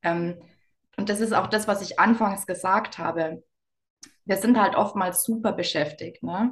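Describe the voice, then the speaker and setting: This woman has an unremarkable speaking voice. She sits at a medium pitch and varies it in an ordinary way. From Bavaria, Lower Bavaria. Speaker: business coach. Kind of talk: interview.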